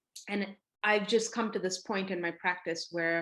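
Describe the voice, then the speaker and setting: In a very clean recording with a silent background, a woman with a Tamil accent talks at a medium pitch. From south India, Chennai. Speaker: artist and scholar. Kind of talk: interview talk. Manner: reflective, with many fillers.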